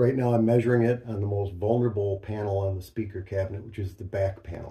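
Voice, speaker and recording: Somewhat breathy and fairly low in pitch, a man talks at a fairly quick pace with fairly even intonation. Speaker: speaker. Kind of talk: tutorial. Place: home room.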